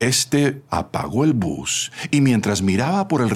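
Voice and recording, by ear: The speaker is reading aloud in a natural voice, with lively intonation throughout.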